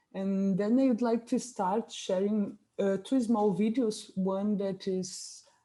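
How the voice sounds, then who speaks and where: A woman with a Portuguese accent speaks at a medium pitch in a dark, mellow tone. Her pace is fairly slow and her intonation fairly even. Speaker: theatre maker. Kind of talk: presentation in a talk. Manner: halting.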